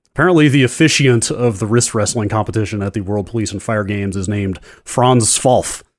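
Fairly quick and with hardly any pauses, a man with an unremarkable speaking voice and fairly low pitch speaks with ordinary pitch variation on a very clean recording with a silent background. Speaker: podcast co-host. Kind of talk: casual chat.

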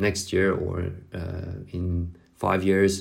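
Somewhat breathy and very deep in pitch, a man speaks in a monotone with flat intonation. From southern France. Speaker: professional cyclist. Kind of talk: interview. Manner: halting, with repetitions.

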